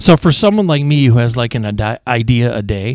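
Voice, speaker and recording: A man speaks at a fairly quick pace with a medium pitch. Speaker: podcast host. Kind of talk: interview podcast. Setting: studio. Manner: relaxed, soothing.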